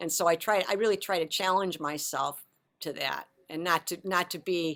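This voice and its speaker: Fairly low pitch from a woman, moderate pace and fairly even intonation. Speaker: composer and singer, religious sister. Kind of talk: interview.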